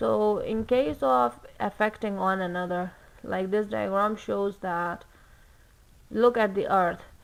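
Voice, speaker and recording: A woman's medium-pitched voice with a non-native accent, lively intonation, a very slow pace and long, frequent pauses. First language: not English. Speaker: student explaining a textbook. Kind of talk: study-along textbook reading and explanation. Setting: livestream. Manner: slow, halting.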